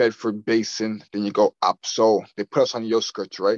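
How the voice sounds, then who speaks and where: At medium pitch and a moderate pace, a man talks in an unremarkable speaking voice with a dry, close sound and no echo. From Nova Scotia, Canada (Dartmouth). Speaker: entrepreneur, print shop owner. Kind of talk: casual interview.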